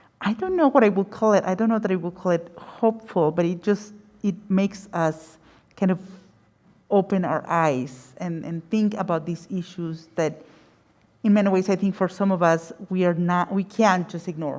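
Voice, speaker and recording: A woman's medium-pitched voice with a Spanish accent, ordinary pitch variation and a moderate pace. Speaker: panelist, academic. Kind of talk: panel discussion. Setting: gallery with audience. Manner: halting, many repetitions.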